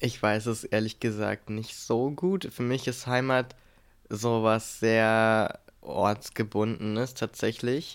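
A man's medium-pitched voice, very slow, with fairly even intonation. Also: very clean recording, silent background. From Brandenburg, Germany. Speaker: podcast co-host. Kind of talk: casual chat.

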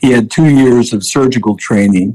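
Speaking in an unremarkable speaking voice with an American accent, a man keeps a moderate pace at a fairly low pitch. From US Midwest, southern Illinois. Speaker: gynecologic oncologist. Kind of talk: interview.

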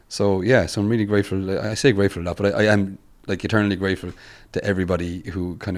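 A man with a Limerick accent talks at a very fast pace and very deep, low pitch with fairly even intonation, on a very clean recording with a silent background. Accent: Irish (Limerick). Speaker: musician and music teacher. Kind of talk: interview. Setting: in person at a university.

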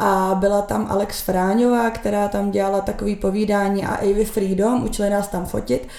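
Noticeable background noise runs under the voice. The delivery is monotone and flat, with hardly any pauses. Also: woman, medium pitch for a woman, moderate pace. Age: 20s. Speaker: social media content creator and marketer. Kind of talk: casual chat.

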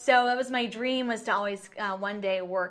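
A woman has a normal speaking voice with an American accent. She speaks at a moderate pace and medium pitch, with ordinary pitch variation. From Clark County, Washington (Ridgefield). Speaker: TV news reporter. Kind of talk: casual interview chat. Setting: TV station studio.

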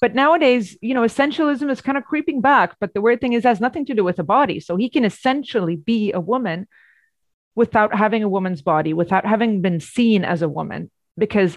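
In a Swedish accent, a woman at medium pitch talks fairly quickly with very wide pitch swings, recorded dry and close with no echo against a quiet background. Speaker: journalist and author. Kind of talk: academic interview.

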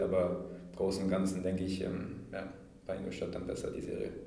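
A man speaks at a fairly low pitch, with audible room echo around him. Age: 20s. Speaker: professional ice hockey player. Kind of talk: interview. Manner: hesitant with fillers.

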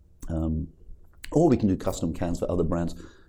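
A man speaks in a British accent. His tone is dark and mellow. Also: quiet background. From UK. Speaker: cannabis brand founder. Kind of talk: interview.

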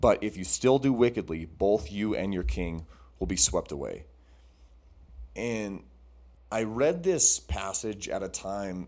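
The voice has a dark, mellow tone with vocal fry and lively intonation at a fairly slow pace. The recording is very clean, with a silent background. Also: man. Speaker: podcast co-host. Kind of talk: casual chat; sermon.

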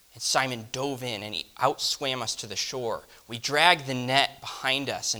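Here someone is reading aloud in a natural voice. The intonation stays fairly even.

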